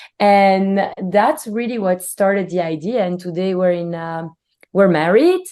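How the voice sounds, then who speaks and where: A woman with a Belgian accent, medium pitch, dark, mellow tone, ordinary pitch variation and a fairly slow pace. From Belgium. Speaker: company CEO. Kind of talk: interview.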